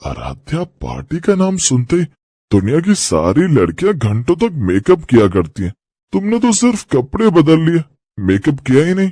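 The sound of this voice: In a cartoonish character voice, the speaker swings very widely in pitch at a moderate pace. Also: man, fairly high pitch for a man.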